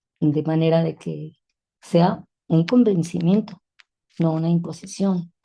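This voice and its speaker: A woman's somewhat breathy, fairly low voice with a dark, mellow tone, a very slow pace, long and frequent pauses, and big swings in loudness. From Mexico City. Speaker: feminist educator and teacher. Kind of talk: interview. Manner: halting.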